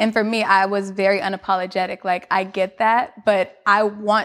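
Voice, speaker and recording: An American accent in a monotone, flat intonation. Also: woman. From New York, Queens. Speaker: fitness studio founder. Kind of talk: interview.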